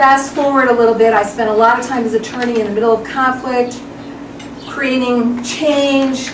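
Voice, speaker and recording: The speech runs at a moderate pace in a monotone, flat intonation. Audible room echo and noticeable background noise are present. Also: woman, high pitch for a woman. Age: 50s. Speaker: attorney. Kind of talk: personal video presentation. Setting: at home.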